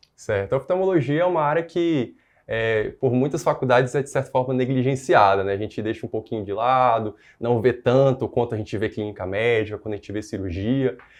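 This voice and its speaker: This man has a medium-pitched voice. He talks at a fairly quick pace. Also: ordinary pitch variation. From northern Brazil, interior of Pará. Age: 20s. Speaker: newly qualified doctor. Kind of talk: interview. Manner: halting, with fillers.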